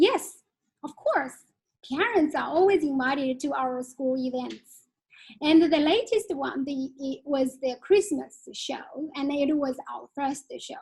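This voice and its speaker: A woman speaks very slowly with a Chinese accent, her voice pitched high. Her pitch varies in an ordinary way while her loudness swings widely. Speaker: Chinese curriculum head teacher. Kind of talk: webinar Q&A answers. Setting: online webinar. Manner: halting.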